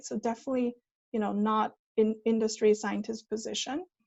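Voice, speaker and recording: Fairly quick and fairly even in intonation, a woman speaks at fairly high pitch with a Chinese accent. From China. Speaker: management consultant, former PhD researcher. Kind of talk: talk.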